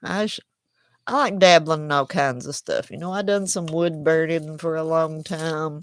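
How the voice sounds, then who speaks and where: A woman with a strong Southern US accent talks at a fairly low pitch with ordinary pitch variation. The recording is very clean, with a silent background. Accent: strong Southern country. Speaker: crochet YouTuber. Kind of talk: casual chat. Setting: livestream at home. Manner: slow, drawling.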